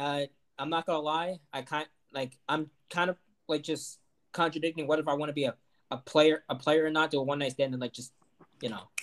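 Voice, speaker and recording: Delivered at a fairly quick pace with long, frequent pauses, the voice has an American accent and fairly even intonation in a dry, close sound with no echo. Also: man, fairly high pitch for a man. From Ohio. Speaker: podcast co-host. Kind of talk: casual chat. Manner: halting.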